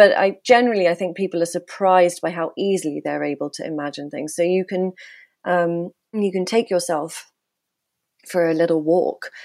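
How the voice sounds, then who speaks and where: A woman with an ordinary speaking voice and fairly low pitch talks at a moderate pace with ordinary pitch variation in a very clean recording with a silent background. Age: 30s. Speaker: writer and ecopsychologist. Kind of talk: interview conversation.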